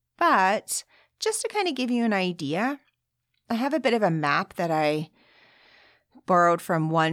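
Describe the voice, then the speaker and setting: A woman's fairly low voice in an upbeat tone, with lively intonation at a moderate pace. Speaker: podcast host and audiobook narrator. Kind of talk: solo podcast monologue about her work, with book excerpts read aloud. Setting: home recording, dog barking outside. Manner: conversational, upbeat.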